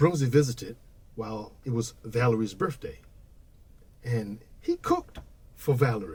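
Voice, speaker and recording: Speaking at a moderate pace with long, frequent pauses, a man uses a medium pitch with ordinary variation and sounds somewhat breathy. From Washington, D.C., US. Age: 60s. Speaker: blues musician and educator. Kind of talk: casual podcast conversation.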